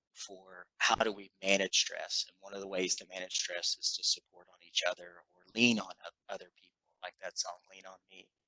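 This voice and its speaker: At a moderate pace, a man talks with a slight Kentucky accent. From western Kentucky. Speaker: clinical psychologist. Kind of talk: panel discussion.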